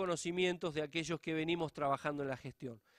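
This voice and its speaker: A man with a plain, everyday voice and a fairly high pitch talks at a fairly quick pace with fairly even intonation. The recording is very clean, with a silent background and a dry, close sound with no echo. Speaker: public auditor. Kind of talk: conference lecture.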